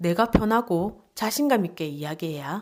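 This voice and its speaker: A strong Gyeongsang accent at a fairly slow pace, with lively intonation, on a very clean recording with a silent background. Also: woman. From Gyeongsang region, South Korea. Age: 40s. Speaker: book reviewer. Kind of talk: book review narration.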